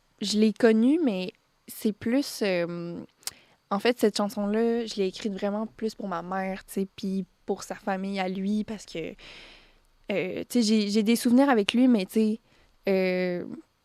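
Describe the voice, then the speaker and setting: At a very slow pace full of long, frequent pauses, a woman with a medium pitch and a dark, mellow tone speaks with fairly even intonation and big swings in loudness, in a dry, close sound with no echo. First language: Spanish (speaking French). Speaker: singer-songwriter. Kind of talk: radio interview. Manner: halting, many fillers.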